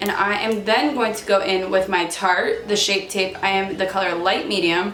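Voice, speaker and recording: A woman at medium pitch and moderate pace, with fairly even intonation, audible room echo and noticeable background noise. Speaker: hairstylist and beauty vlogger. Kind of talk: makeup tutorial. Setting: filming at home, no mirror.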